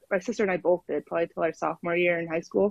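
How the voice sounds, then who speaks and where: An ordinary speaking voice with an American accent and ordinary pitch variation comes through in a dry, close sound with no echo. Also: woman. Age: 20s. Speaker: caller sharing life story. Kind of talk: casual interview. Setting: phone call.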